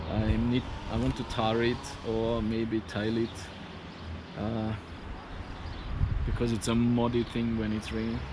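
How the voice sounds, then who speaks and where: A man speaks at a medium pitch and a fairly slow pace. Audible room echo and noticeable background noise surround his voice. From Austria, Vorarlberg near Swiss border. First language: German. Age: 40s. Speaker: engineer and DIY vlogger. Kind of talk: casual vlog monologue.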